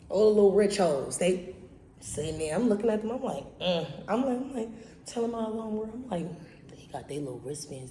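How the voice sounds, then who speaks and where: A woman speaks at a fairly quick pace and a medium pitch, with very wide pitch swings and big swings in loudness. Audible room echo and noticeable background noise fill the recording. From Barbados. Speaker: podcast host. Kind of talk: casual storytelling monologue. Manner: animated.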